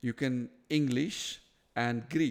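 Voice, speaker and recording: A man with a non-native accent talks at a medium pitch in a very clean recording with a silent background. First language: not English. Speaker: interview host. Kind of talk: casual interview conversation. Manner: halting, many repetitions and restarts.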